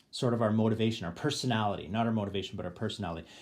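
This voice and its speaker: A man with a Canadian accent and a medium pitch. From Canada. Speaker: board game YouTuber. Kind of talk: gameplay tutorial; tutorial. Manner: hesitant, many fillers. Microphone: phone near.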